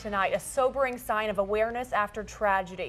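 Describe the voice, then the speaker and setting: Music plays in the background as a woman talks at a fairly quick pace. Her pitch is fairly high, with ordinary variation. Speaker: television news anchor. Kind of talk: local TV news anchor delivery.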